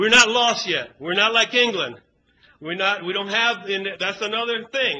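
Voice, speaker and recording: A man speaks in a raised, projected voice with a high pitch. His pitch variation is ordinary, and his pace is moderate. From US South, Savannah, Georgia; born in Cuba. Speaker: political activist. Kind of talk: speech at a conference.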